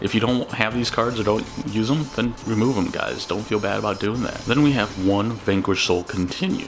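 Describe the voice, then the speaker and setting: A man's fairly low voice at a fairly quick pace, with ordinary pitch variation and noticeable background noise. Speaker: card game content creator. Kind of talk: deck profile talk to camera. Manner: casual.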